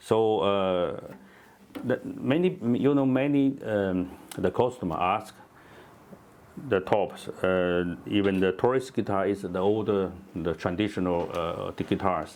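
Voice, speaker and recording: A man with a non-native accent at a fairly slow pace, with long, frequent pauses. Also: fairly low pitch for a man, ordinary pitch variation. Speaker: guitar maker. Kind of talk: casual chat. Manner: halting.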